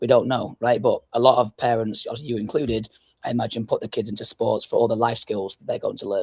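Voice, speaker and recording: A man with an English accent talks at a very fast pace, his loudness swinging widely, in a dry, close recording with no echo. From northwest England, Blackpool. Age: 30s. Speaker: youth soccer club founder and coach. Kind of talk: podcast interview.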